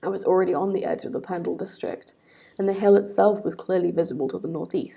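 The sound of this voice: What you hear is an unforced reading voice.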